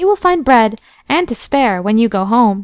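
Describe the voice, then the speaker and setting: A woman uses a put-on character voice with a fairly high pitch. Her pace is moderate. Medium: read story.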